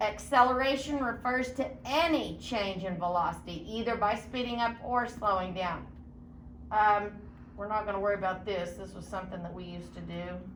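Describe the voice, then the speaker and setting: The woman talks at a moderate pace with ordinary pitch variation. Audible room echo can be heard. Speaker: science teacher. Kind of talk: lecture.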